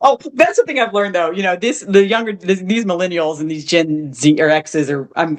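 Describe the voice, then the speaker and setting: Lively in intonation, a woman with a fairly low pitch talks at a fairly quick pace. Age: 50s. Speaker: retired digital nomad. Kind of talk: casual interview chat. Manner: animated storytelling with many false starts.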